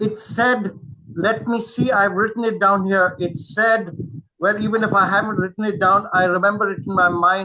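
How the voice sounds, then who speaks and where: A man with a high pitch uses a raised, projected voice and ordinary pitch variation. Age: 70s. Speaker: webinar moderator. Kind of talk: webinar Q&A. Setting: online webinar. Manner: halting.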